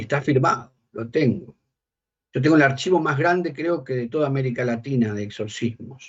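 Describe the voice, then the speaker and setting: A man with an ordinary speaking voice at a medium pitch. He talks at a moderate pace with ordinary pitch variation. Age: 60s. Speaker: bishop and exorcist. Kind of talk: interview.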